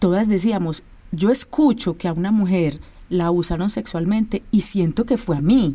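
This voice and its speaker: This is a woman's voice with a medium pitch. It carries a dark, mellow tone. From Colombia, Medellín. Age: 40s. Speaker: choreographer and dance company director. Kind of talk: interview.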